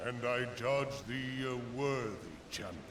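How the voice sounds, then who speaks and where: A man speaks in a put-on character voice at medium pitch and a moderate pace, with a solemn tone, slight echo and loud background noise. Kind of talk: archaic formal speech. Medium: video game. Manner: solemn, measured.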